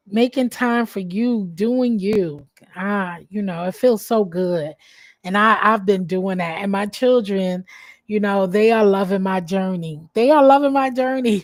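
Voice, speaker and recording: A woman's fairly high voice at a fairly slow pace. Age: 40s. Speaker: vlogger. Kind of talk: casual chat.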